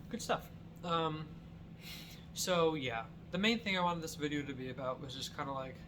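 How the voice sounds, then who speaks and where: Amid noticeable background noise, a man speaks at a moderate pace with long, frequent pauses. His pitch is fairly high, with ordinary variation. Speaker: YouTuber. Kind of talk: casual vlog chat. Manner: rambling, halting with fillers.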